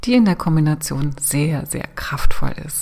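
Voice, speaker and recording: This woman's pitch is very deep and low. Her tone is soothing and calm. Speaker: podcast host and business coach. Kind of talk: guided meditation. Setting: solo recording. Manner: slow, soothing, calm with long pauses; gentle, hypnotic, inviting.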